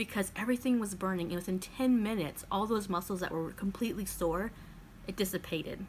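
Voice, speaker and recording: A woman speaks at a moderate pace with a medium pitch. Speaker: lifestyle vlogger. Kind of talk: casual vlog talk. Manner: halting, stumbling over words.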